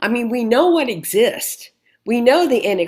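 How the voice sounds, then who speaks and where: Her intonation lively, a woman speaks at a high pitch with an American accent. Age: 70s. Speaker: club member asking question. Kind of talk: Q&A at club meeting.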